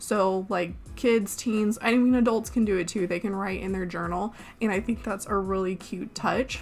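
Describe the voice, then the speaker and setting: A woman's medium-pitched voice with vocal fry, fairly even intonation and a moderate pace. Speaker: gaming YouTuber. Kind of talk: voice-over commentary on a speed build. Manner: pauses to hold back coughs.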